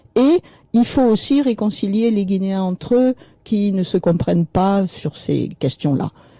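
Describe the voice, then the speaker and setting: Lively intonation and a somewhat breathy quality ride on a dark, mellow tone, recorded dry and close with no echo. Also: woman, medium pitch for a woman, fairly slow pace. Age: 70s. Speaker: author and widow of a political victim. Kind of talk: radio interview.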